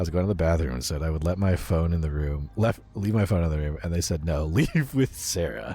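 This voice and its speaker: A man speaking at a moderate pace. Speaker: VTuber streamer. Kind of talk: gaming livestream chat. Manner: quiet when off mic, projects on mic; casual, reads chat and game lines.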